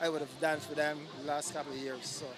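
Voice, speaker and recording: Music plays behind a man speaking at a moderate pace. His pitch is fairly high and his intonation fairly even. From Barbados. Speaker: event attendee, promoter. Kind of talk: interview.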